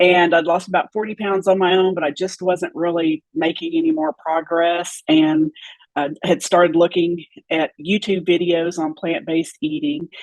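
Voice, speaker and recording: Here is a woman with an ordinary speaking voice and a fairly low pitch. She keeps a moderate pace and a fairly even intonation. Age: 60s. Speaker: former nutrition client sharing health journey. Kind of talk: interview testimony.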